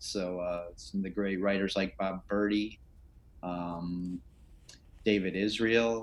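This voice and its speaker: With an American accent, a man speaks in a very deep, low pitch and fairly even intonation. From Chicago, US Midwest. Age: 60s. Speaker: sportswriter. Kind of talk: interview.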